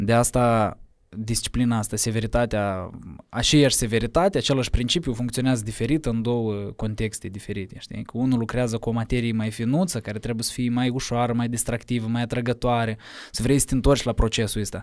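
Against a quiet background, a man talks at a fairly quick pace with fairly even intonation. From Moldova, Cahul; Moldova. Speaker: musician; podcast guest. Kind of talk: casual interview. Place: studio. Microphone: studio mic.

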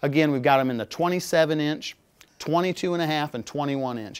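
The pitch varies in an ordinary way. A man speaks at a moderate pace. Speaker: presenter. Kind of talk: product tech talk. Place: studio.

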